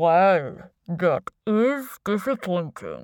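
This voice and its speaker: A woman puts on a character voice at medium pitch with lively intonation. The sound is dry and close, with no echo. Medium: read story. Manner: smooth, menacing.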